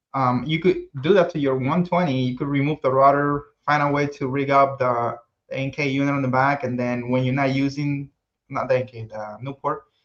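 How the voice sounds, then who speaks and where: Fairly quick in pace, a man speaks with a non-native accent. His fairly high voice keeps a fairly even intonation. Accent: foreign accent, self-described. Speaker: kayak rigger and content creator. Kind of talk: casual podcast chat. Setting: live-streamed podcast.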